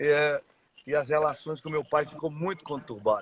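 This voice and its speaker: The sound of this man's voice is dry and close, with no echo. He keeps a moderate pace and fairly even intonation. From Brazil, Mato Grosso do Sul (Dourados). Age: 40s. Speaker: church member sharing life story. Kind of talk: testimony. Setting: live stream. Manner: halting.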